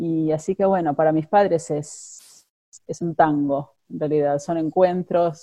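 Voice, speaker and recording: A woman talks at a very slow pace in a very deep, low pitch with a dark, mellow tone. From Argentina, Buenos Aires. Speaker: immigrant interviewee. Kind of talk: interview. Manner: halting, many fillers and repetitions.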